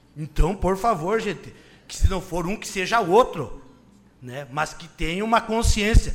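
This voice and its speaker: A man's high voice with big swings in loudness. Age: 30s. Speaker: city councillor and secretary. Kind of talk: political speech in council; reading official documents aloud.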